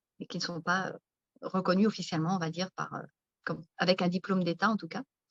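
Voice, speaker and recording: Somewhat breathy, a woman speaks at a very fast pace in a dry, close sound with no echo. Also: medium pitch for a woman, fairly even intonation. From France, countryside. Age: 50s. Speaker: naturopath and author. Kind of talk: interview. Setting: live video stream.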